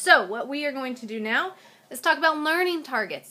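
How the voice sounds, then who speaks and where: With a bright, sharp tone, a woman talks at a fairly quick pace with ordinary pitch variation. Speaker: science teacher. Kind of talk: video lecture.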